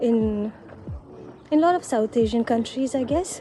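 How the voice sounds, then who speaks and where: Over music in the background, a woman with a Sri Lankan Tamil accent speaks at a fairly slow pace in a high pitch with ordinary pitch variation. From Sri Lanka, Tamil background. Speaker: vlogger. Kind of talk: casual vlog monologue. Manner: halting, with fillers and repetitions.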